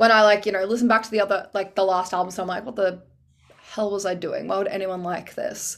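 A woman's medium-pitched voice, very fast and monotone with flat intonation, in an Australian accent. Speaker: singer and nurse. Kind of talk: casual chat. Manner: loud.

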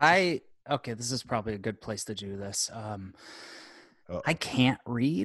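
Over a quiet background, a man with medium pitch and lively intonation speaks at a moderate pace, taking long, frequent pauses. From Rochester, New York. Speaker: professional wrestler. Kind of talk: casual chat. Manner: animated.

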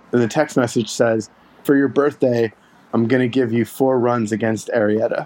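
A man with an unremarkable speaking voice talks at a medium pitch and moderate pace with very even loudness and fairly even intonation. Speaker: baseball fan, storyteller. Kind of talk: casual chat.

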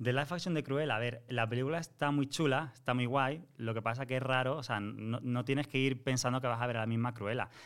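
A man with a plain, everyday voice speaks at a fairly quick pace with hardly any pauses. His pitch is medium, his intonation fairly even, and his loudness very even. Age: 30s. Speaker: Disney content creator. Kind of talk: casual chat.

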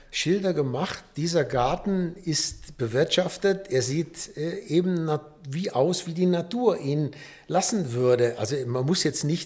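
Somewhat breathy, a man speaks at a fairly slow pace. His intonation is lively. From Rhineland, Düsseldorf. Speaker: nature conservation volunteer. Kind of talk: casual chat. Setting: studio. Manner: upbeat.

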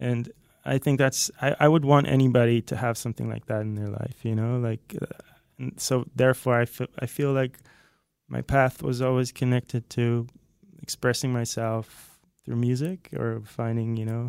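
The speaker has a Dutch accent and fairly even intonation at a moderate pace. The sound is dry and close, with no echo. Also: man, medium pitch for a man. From Netherlands, near Haarlem. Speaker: music producer and guitarist. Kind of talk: casual chat. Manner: halting, repeats words.

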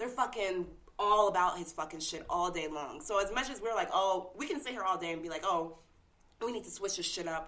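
A woman's normal speaking voice in an American accent, medium in pitch, with lively intonation and a fairly quick pace. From California. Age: 20s. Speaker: radio personality. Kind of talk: casual chat. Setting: studio.

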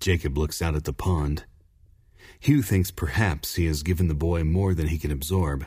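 A man's very deep, low voice, dark and mellow in tone and somewhat breathy, with fairly even intonation at a moderate pace. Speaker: audiobook narrator. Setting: studio. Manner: measured, formal, earnest narrator pacing.

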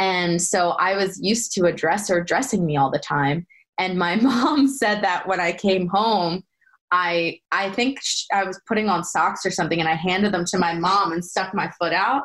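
Speaking with an American accent, a woman has a medium pitch and an unremarkable speaking voice. Her pace is moderate, her pitch variation ordinary, and her loudness very even. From Pennsylvania, Bucks County near Philadelphia. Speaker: former soap opera actress. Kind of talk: casual interview chat.

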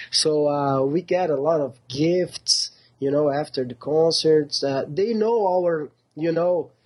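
A man at a very slow pace, fairly high in pitch, with ordinary pitch variation. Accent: Portuguese. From southern Brazil, Porto Alegre. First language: Portuguese. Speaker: metal band singer. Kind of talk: interview. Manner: halting.

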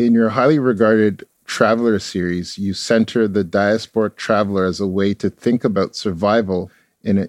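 Here is a man with an unremarkable speaking voice, fairly low in pitch, with fairly even intonation at a moderate pace, recorded with a dry, close sound with no echo against a quiet background. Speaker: podcast host. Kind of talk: interview.

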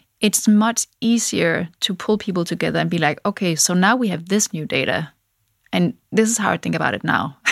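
A woman's medium-pitched voice with vocal fry and ordinary pitch variation, at a moderate pace, dry and close with no echo. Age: 40s. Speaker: tech founder. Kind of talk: interview.

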